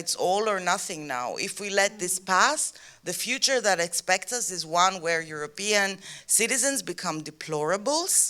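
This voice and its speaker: With a Greek accent, a woman speaks at a medium pitch in a bright, sharp tone, using ordinary pitch variation. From Greece. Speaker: activist. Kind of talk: panel talk. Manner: halting.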